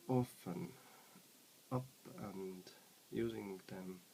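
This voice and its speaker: A man mumbling very slowly with a non-native accent. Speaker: electronics hobbyist. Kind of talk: casual tutorial narration.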